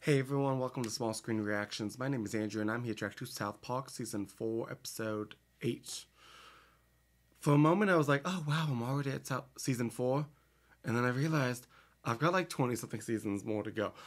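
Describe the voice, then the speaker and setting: A man speaks at a fairly quick pace with ordinary pitch variation. Behind him the background is quiet. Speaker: reaction video host. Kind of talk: casual vlog chat. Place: home room.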